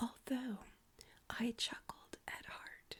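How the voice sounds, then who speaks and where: Soft-spoken and somewhat breathy, a woman talks at a very slow pace in a dark, mellow tone. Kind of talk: ASMR story reading.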